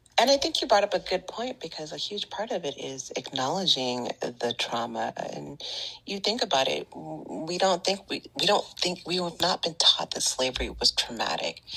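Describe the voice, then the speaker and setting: A woman at a moderate pace with hardly any pauses. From Northern California, Bay Area. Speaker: Reiki teacher and wellness podcaster. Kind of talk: casual interview chat.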